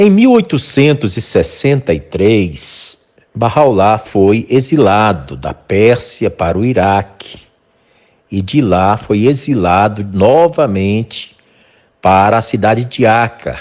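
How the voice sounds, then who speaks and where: The speech goes at a very slow pace, with lively intonation. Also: man, medium pitch for a man. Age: 60s. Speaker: podcast host. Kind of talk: interview.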